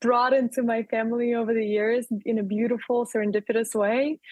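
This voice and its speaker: A woman is speaking. She has a strong Russian accent. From Russia, Urals region. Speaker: entrepreneur. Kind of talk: interview.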